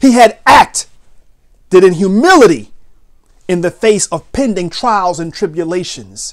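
With lively intonation, a man speaks at a fairly slow pace in a high pitch.

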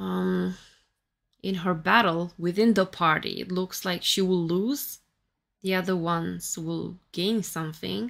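A woman with a Romanian accent speaks at a fairly slow pace. The recording is very clean, with a silent background. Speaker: tarot reader and YouTuber. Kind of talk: tarot reading monologue.

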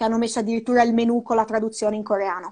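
Here a woman speaks with a fairly high pitch. The background is quiet. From Ravenna, Emilia-Romagna, Italy; Emilia-Romagna, Italy. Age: 20s. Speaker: snowboard instructor and mountain guide; snowboard instructor, mountain guide. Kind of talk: interview. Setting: live video call. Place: home room. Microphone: earbuds.

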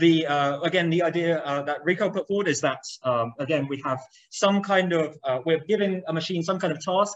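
The quiet background leaves a man's high pitch clear. His intonation is lively. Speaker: lecturer. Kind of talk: lecture. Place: classroom.

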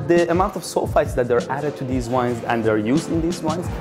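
Music plays in the background as a man speaks. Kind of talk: interview answer. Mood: calm, earnest. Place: bar.

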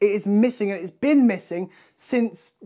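A man with a dark, mellow tone talks at a moderate pace, his pitch high and its variation ordinary.

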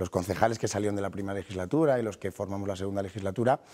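Dark and mellow in tone, a man's voice sits at a fairly low pitch with fairly even intonation. The recording is very clean with a silent background. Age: 30s. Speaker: mayor and politician. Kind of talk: TV interview. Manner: halting, with frequent repetitions.

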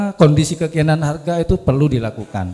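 A man speaks in a normal speaking voice, fairly high for a male, with lively intonation at a moderate pace. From Indonesia. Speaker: disaster agency official; audience member. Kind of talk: question from audience. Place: hall. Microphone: handheld.

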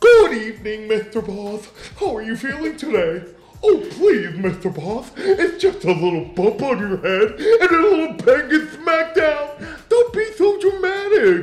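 A put-on character voice moves at a fairly slow pace through very wide pitch swings. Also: man, extremely high pitch for a man.

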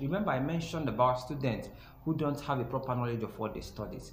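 Light background noise and audible room echo surround this man's voice. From Nigeria. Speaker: YouTube educator, biochemistry graduate. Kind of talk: tutorial. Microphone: phone near.

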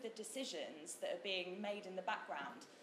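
A woman speaks at a moderate pace over light background noise, with audible room echo around her voice. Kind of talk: conference talk. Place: hall. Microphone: camera far.

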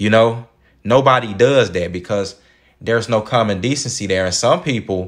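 Lively intonation runs through this fairly slow delivery in an American accent. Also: man. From Dallas, Texas (Oak Cliff). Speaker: YouTube commentator. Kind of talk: commentary monologue.

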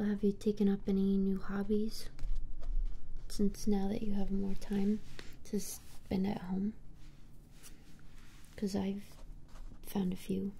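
Soft-spoken and somewhat breathy, a woman talks at a very slow pace in a dark, mellow tone with monotone, flat intonation and long, frequent pauses over light background noise. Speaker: roleplay streamer. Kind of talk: soft casual roleplay chat. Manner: soft-spoken ASMR murmur, close and quiet. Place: home room.

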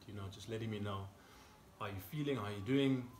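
A man's voice with ordinary pitch variation, audible room echo and light background noise. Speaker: fitness coach. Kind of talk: casual workout intro chat. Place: garden. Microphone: camera far.

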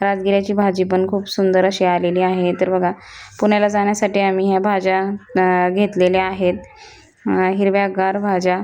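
A woman's medium-pitched voice, monotone and flat in intonation, at a very even loudness. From Maharashtra, rural Pune district. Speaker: village vlogger. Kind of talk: travel vlog narration.

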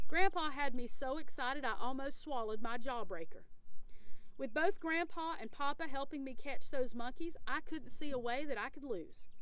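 A woman talks at a moderate pace, with a dry sound and no echo. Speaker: storyteller reading a children's book. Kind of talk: read-aloud storytelling. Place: waterside.

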